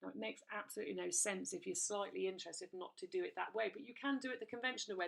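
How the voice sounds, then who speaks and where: At a very fast pace, a woman talks with hardly any pauses. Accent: English. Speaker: direct sales recruiter. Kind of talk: sales pitch. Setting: recorded video presentation. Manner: animated.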